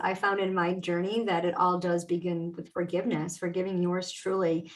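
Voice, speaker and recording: At a fairly quick pace, a woman speaks in an unremarkable speaking voice. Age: 50s. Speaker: podcast host and mindset coach. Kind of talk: podcast interview. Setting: live video stream.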